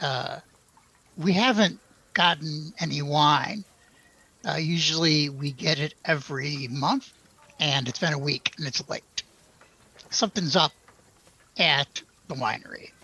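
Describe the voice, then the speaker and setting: A raspy, put-on character voice from a man, fairly high in pitch with ordinary variation, at a fairly slow pace with long, frequent pauses. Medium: actual play. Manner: blunt, terse.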